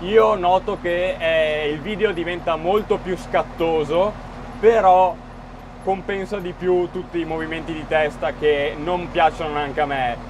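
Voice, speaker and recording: At a fairly slow pace, a man with a high voice speaks with ordinary pitch variation over noticeable background noise. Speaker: farmer driving a tractor. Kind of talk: casual vlog chat. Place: farm machine. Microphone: phone near.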